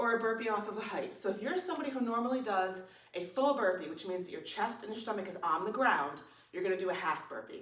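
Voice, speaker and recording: A woman with a fairly high pitch speaks at a fairly quick pace, with audible room echo around her voice. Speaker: fitness instructor. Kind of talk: tutorial. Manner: casual, conversational.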